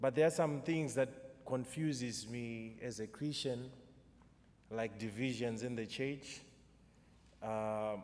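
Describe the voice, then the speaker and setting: A man with a Zimbabwean accent speaks at a very slow pace with long, frequent pauses. His pitch is medium, with ordinary pitch variation. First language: Shona. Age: 30s. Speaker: poet. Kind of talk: poetry performance with spoken introduction. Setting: church concert with audience.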